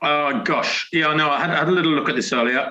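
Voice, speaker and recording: The speaker has a British accent and moves at a fairly quick pace. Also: man. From Britain. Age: 60s. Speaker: retired elite distance runner. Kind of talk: interview. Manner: hesitant, many fillers and repetitions.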